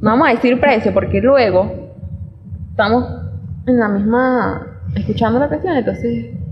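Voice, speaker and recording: A woman with a Caracas Venezuelan accent talks at a fairly slow pace, her loudness very even and her pauses long and frequent. Noticeable background noise and audible room echo fill the recording. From Venezuela, Caracas. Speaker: podcast co-host. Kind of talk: casual chat.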